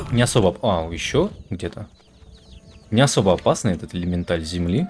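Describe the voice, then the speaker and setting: A man with a very deep, low voice, at a fairly quick pace, over noticeable background noise. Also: ordinary pitch variation. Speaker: video game streamer. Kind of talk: let's play commentary. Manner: casual, hesitant with fillers.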